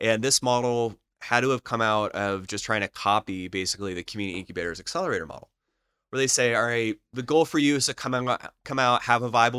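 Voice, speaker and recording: At a very fast pace, a man with an American accent speaks in a bright, sharp tone at a medium pitch with ordinary pitch variation, in a very clean recording with a silent background and a dry, close sound with no echo. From Florida, Lakeland. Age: 30s. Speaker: entrepreneurship educator. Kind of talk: casual interview.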